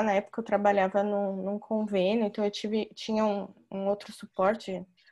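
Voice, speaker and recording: At a moderate pace over a quiet background comes a plain, everyday voice. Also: woman. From São Paulo state, Brazil. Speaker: chiropractor, moderator. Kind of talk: online panel conversation. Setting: video call.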